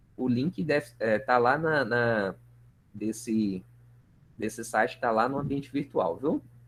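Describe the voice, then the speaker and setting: A man talks at a fairly slow pace, his medium pitch showing ordinary pitch variation. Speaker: university lecturer. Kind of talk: online lecture.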